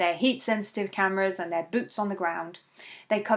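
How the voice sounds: The speaker uses a natural reading voice. The words are read aloud.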